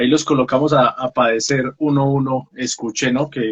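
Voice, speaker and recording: A man's plain, everyday voice at medium pitch, with fairly even intonation. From Colombia, Pereira. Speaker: book talk show host. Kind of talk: casual interview.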